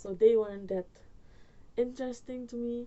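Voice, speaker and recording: Someone speaks at a moderate pace in a Surinamese accent. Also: woman. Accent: Surinamese Dutch accent in English. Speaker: YouTuber storyteller. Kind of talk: storytime vlog, casual. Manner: rambling, hesitant with fillers.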